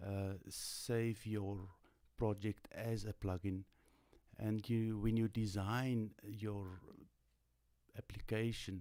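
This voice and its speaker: Speaking in a non-native accent, a man with a dark, mellow tone and fairly low pitch talks at a very slow pace in a monotone, flat intonation, with long, frequent pauses. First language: not English. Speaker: tutorial live streamer. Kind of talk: live stream Q&A. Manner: halting.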